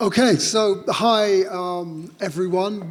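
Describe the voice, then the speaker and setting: Normal rises and falls in pitch, with a noticeable noise bed and audible room echo. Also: man. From London. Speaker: writer and community artist. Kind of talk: panel conversation. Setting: stage with audience.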